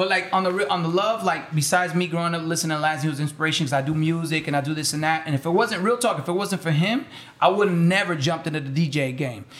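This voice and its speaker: Very fast speech with hardly any pauses and ordinary pitch variation against noticeable background noise. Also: man, high pitch for a man. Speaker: music producer. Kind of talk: casual chat.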